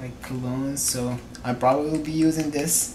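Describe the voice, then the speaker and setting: A man with a non-native accent talks at a fairly high pitch with fairly even intonation, amid noticeable background noise and audible room echo. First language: not English. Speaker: vlogger. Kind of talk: product unboxing review. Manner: casual, hesitant.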